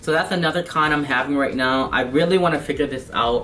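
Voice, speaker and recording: With noticeable background noise present, the speaker's pitch varies in an ordinary way. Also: man. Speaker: car enthusiast vlogger. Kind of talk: product review. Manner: fast; hesitant, many fillers.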